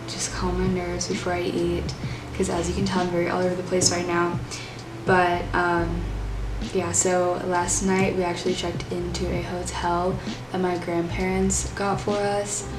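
Music in the background behind a woman talking at a moderate pace. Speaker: vlogger. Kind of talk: casual vlog chat. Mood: cheerful, a bit scattered. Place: home room. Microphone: camera far.

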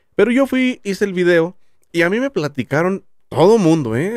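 Against a quiet background, a man's voice swings very widely in pitch, the sound dry with no echo. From Jalisco, Mexico (Tamazula); Jalisco, Mexico. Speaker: YouTuber; podcast guest. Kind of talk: casual chat. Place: studio. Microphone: studio mic.

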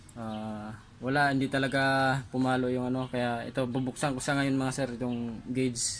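At a moderate pace, a man talks at medium pitch with monotone, flat intonation. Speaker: auto mechanic vlogger. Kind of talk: DIY repair tutorial. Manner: halting, many fillers.

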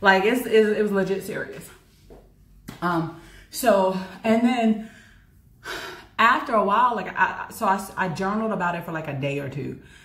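The speaker has an American accent and a moderate pace, with long, frequent pauses. Room echo is audible. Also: woman, ordinary pitch variation, big swings in loudness. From United States. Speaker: university lecturer and fitness vlogger; university lecturer, fitness vlogger. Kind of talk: casual vlog monologue. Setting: outdoors. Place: home room. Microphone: camera far.

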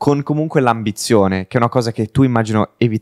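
A man at a very fast pace with fairly even intonation, in a dry, close sound with no echo. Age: 20s. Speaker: podcast host. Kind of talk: casual interview.

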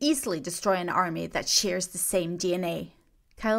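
A passage is read out loud. The reader uses a natural voice.

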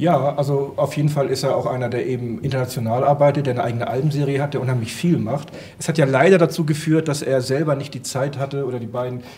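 Delivered with fairly even intonation, the words come out at a very fast pace. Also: man. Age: 50s. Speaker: comic expert and comic shop owner; comic expert, comic shop owner. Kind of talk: casual chat. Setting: studio with audience. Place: studio. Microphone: handheld.

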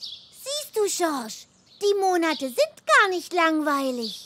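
In a cartoonish character voice, a woman speaks at an extremely high pitch with a fairly bright tone. Her pace is slow, and her pitch swings widely.

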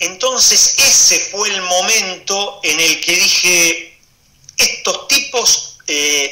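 In a raised, projected voice, a man swings very widely in pitch while audible room echo fills the sound. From Argentina. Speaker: basketball commentator. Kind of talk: interview. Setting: Instagram live video call. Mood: nostalgic, emotional recollection.

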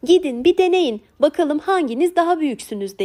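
A woman puts on a character voice. Her pitch is extremely high. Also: moderate pace. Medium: read story.

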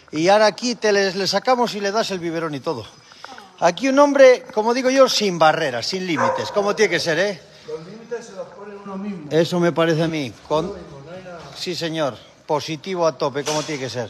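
A man with a high pitch, lively intonation and big swings in loudness, at a fairly quick pace, over noticeable background noise. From Cantabria, Spain. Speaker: cattle farmer. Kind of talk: livestream chat. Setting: outdoors. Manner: animated. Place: farm machine. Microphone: phone near.

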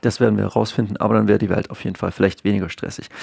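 The voice has a dark, mellow tone, with a dry, close sound with no echo on a very clean recording over a silent background. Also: man. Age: 30s. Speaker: YouTuber talking about health. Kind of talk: casual video monologue. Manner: hesitant, many filler sounds.

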